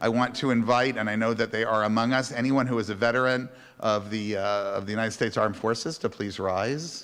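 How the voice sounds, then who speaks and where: This man talks at a very fast pace with hardly any pauses, at a medium pitch. Room echo can be heard around his voice. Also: fairly even intonation. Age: 60s. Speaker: rabbi. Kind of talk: religious service. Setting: congregation service, live streamed. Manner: halting.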